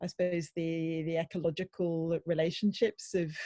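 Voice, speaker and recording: A woman speaks with a Welsh accent at a moderate pace. The sound is dry and close, with no echo. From Wales. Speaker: audience participant. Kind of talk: casual chat. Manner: halting.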